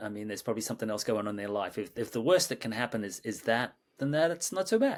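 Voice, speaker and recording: In a very clean recording with a silent background, a man with an Australian accent talks at a very fast pace with lively intonation. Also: medium pitch for a man. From Australia, Sydney. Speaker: creative director and mindfulness teacher. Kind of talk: interview conversation. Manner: halting, many repetitions and fillers.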